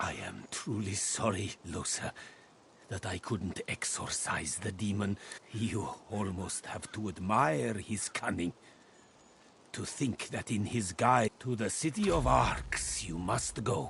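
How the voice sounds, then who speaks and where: A man's put-on character voice, fairly low in pitch, fairly slow, with lively intonation. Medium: video game. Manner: measured, solemn.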